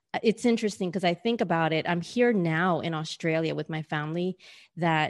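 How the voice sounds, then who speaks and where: Against a quiet background, a woman with a New York accent speaks in a fairly low voice with ordinary pitch variation. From New York City, US. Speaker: business mentor and career coach. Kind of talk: interview.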